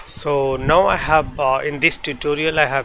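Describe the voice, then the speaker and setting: A man's fairly high voice with a non-native accent, over noticeable background noise. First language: not English. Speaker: 3D visualization tutor. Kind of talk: software tutorial. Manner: halting.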